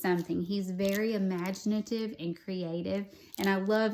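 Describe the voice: Plain reading aloud with fairly even intonation comes through here.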